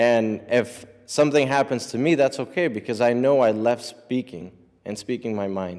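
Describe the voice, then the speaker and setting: Here is an unremarkable speaking voice with an American accent at a moderate pace. The recording is very clean, with a silent background. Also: man, medium pitch for a man, ordinary pitch variation. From US, brought from Mexico at age eight. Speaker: immigrant rights advocate. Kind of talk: public speech.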